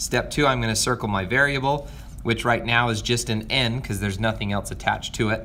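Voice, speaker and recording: A man talks at a fairly quick pace. Noticeable background noise runs beneath his voice. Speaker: math teacher. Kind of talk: video lesson for students. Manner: fast; hesitant fillers.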